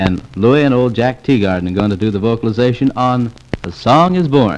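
Over music in the background, the voice moves at a fairly quick pace with lively intonation. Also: man, medium pitch for a man. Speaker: radio announcer / disc jockey. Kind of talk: radio disc jockey show patter, audition. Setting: old acetate disc recording, vintage 1940s. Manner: chatty, jocular, rhyming patter. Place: studio. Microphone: old recording.

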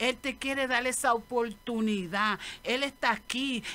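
A woman with a fairly high pitch and a bright, sharp tone talks at a fairly slow pace with ordinary pitch variation.

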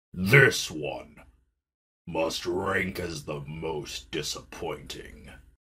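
Speaking very slowly, a man uses a put-on character voice. The voice is raspy. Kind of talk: comic dub narration.

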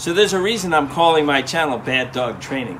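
Moderate-paced male speech with a little noise in the background. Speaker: dog trainer. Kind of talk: tutorial. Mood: calm, encouraging. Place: garden.

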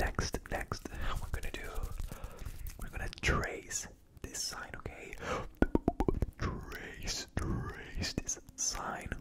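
Soft-spoken whispering comes at a very slow pace with long, frequent pauses. Loud background noise is present. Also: man. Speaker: ASMR creator. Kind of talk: soft ASMR roleplay talk. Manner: soft close-mic ASMR whisper. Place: home room. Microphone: studio mic.

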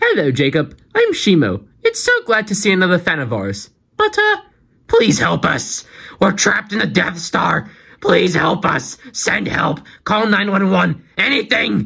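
A female-sounding voice performs a put-on character voice at a medium pitch. The pace is fairly slow. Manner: friendly then pleading.

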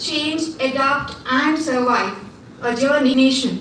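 The recording has audible room echo and light background noise. A high-pitched woman speaks at a moderate pace. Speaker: assistant professor giving welcome. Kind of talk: formal welcome address. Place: hall.

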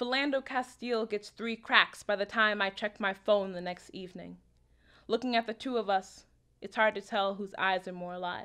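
At a moderate pace, a woman with an unremarkable speaking voice talks at a medium pitch. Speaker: poet. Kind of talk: poetry reading.

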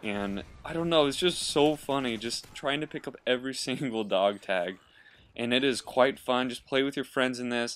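A man uses a normal speaking voice at a moderate pace, with ordinary pitch variation. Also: medium pitch for a man. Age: 20s. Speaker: gaming YouTuber. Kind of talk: gameplay commentary tutorial. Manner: casual, laughing.

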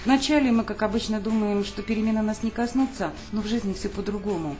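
Over noticeable background noise, a woman speaks fairly quickly with a fairly high pitch. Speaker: online course instructor. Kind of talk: tutorial.

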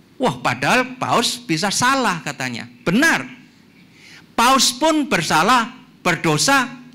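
A man's raised, projected voice, extremely high-pitched, bright and sharp in tone, at a very slow pace with very wide pitch swings. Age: 60s. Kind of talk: lecture. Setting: church hall with audience. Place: hall. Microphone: handheld.

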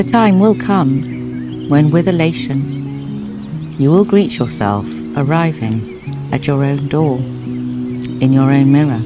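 Over clear background music, a woman talks at a very slow pace in a dry recording with no echo. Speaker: actress. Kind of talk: poetry reading. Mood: calm, tender. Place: garden.

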